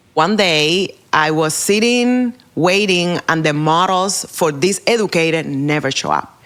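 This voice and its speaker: Someone with a Spanish accent talks at a very slow pace with ordinary pitch variation. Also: woman. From Cuba. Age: 40s. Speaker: hairdresser and educator. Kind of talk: interview.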